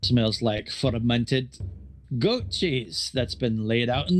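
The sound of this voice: It is an unforced reading voice. The intonation stays fairly even.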